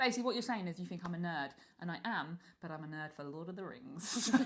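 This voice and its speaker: A woman's very fast, lively-intoned speech in an English accent. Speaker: podcast co-host. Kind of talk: casual chat. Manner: loud.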